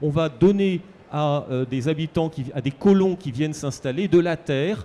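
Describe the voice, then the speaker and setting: A fairly high male voice with a dark, mellow tone. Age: 60s. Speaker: historian. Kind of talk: book talk panel discussion.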